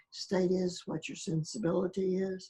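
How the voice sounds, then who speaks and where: Flat, monotone intonation in a woman's dark, mellow, somewhat breathy voice. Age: 80s+. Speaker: spiritual awakening experiencer. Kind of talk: interview.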